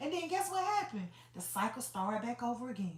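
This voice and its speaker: Woman with an Atlanta accent, a bright, sharp tone and very wide pitch swings, with audible room echo. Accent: Southern US, Atlanta. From US South, Atlanta, Georgia. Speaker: motivational livestreamer. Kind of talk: motivational livestream talk. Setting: livestream. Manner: casual, conversational.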